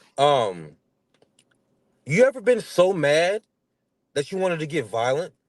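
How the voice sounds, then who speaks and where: A man with a fairly high pitch, an animated tone and very wide pitch swings, with long, frequent pauses. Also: fairly slow pace. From North Carolina. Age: 30s. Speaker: comedian and musician. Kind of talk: casual interview chat.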